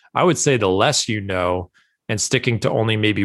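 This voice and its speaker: A man with an ordinary speaking voice, ordinary pitch variation and a moderate pace, against a quiet background. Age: 30s. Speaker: golf author and blogger. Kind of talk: casual interview.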